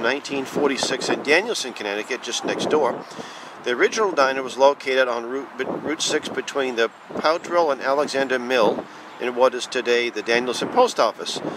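A man talks at a fairly quick pace with ordinary pitch variation, the sound dry with no echo and noticeable background noise behind him. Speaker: diner patron or local narrator. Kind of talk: casual history commentary. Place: street. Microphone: phone near.

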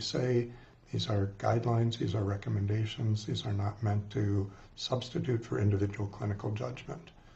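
At a moderate pace, a man speaks at a fairly low pitch with ordinary pitch variation. His voice is somewhat breathy. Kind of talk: lecture. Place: office. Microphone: webcam.

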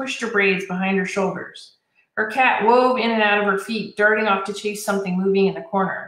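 A natural reading voice with fairly even intonation over a quiet background

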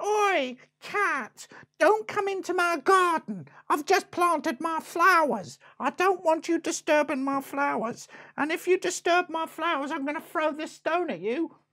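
A cartoonish character voice sounds female, pitched extremely high. It goes at a moderate pace on a very clean recording with a silent background. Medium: puppet show. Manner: scolding, indignant.

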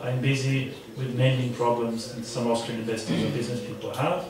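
Fairly quick speech with noticeable background noise and audible room echo. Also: man. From Austria. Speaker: diplomat. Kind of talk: panel discussion. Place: meeting room.

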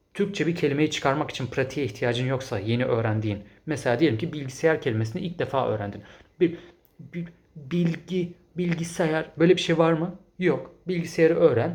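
A man with vocal fry, an animated tone and lively intonation, at a moderate pace. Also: fairly high pitch for a man. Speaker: English teacher and language-learning youtuber. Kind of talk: solo video commentary reading viewer comments.

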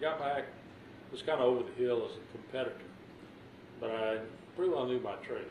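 A man with an American accent rushes along at a very fast pace, with long, frequent pauses and big swings in loudness, in a room with audible echo and light background noise. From Texas, Bryan/College Station; Texas. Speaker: retired fighter pilot, war veteran. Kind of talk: oral history interview. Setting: at home. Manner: halting. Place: home room.

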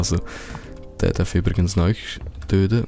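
Over music in the background, a man in a Swiss accent speaks at a fairly low pitch with fairly even intonation. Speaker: let's play gamer. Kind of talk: casual gameplay commentary.

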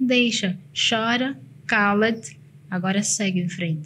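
Light background noise sits behind a somewhat breathy voice with ordinary pitch variation. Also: woman. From Mozambique, Nampula; Mozambique. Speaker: motivational consultant and speaker; speaker. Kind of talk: casual interview chat. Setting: studio. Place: studio. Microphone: studio mic.

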